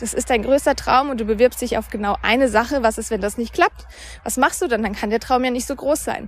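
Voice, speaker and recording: A woman with vocal fry at a fairly high pitch and fairly quick pace, with ordinary pitch variation. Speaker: podcast host and mindset coach. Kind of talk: solo monologue podcast, storytelling. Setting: outdoors, walking by a river.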